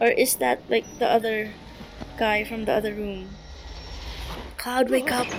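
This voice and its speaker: A woman speaks at a fairly slow pace with a fairly high pitch and ordinary pitch variation, leaving long, frequent pauses. Noticeable background noise runs under her voice. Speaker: gaming youtuber. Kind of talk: gameplay commentary. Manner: loud; halting.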